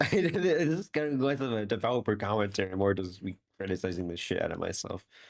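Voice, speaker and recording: A man speaks at a fairly low pitch with lively intonation and a moderate pace. The recording is very clean, with a silent background. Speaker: YouTuber commenting on own old video. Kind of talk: casual commentary. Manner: animated.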